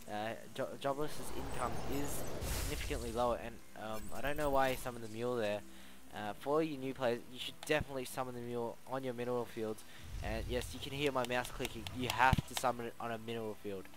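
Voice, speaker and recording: A man's medium-pitched voice at a very fast pace, with fairly even intonation and audible room echo. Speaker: game commentator. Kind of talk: live commentary. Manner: mumbling.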